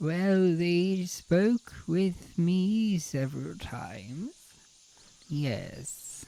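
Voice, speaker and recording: Putting on a character voice, a man talks very slowly in a high pitch with lively intonation. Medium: actual play. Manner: gentle, courteous.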